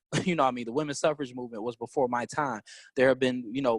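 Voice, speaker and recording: A man with an American accent at a medium pitch and a very fast pace. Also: dry, close sound with no echo. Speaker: teacher, activist and congressional candidate. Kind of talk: interview. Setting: podcast. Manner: loud.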